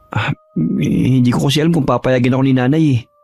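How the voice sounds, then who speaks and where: Doing a put-on character voice, a man talks at a very fast pace in a raspy tone of medium pitch with ordinary pitch variation, and the sound is dry and close with no echo. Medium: read story. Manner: hesitant, polite.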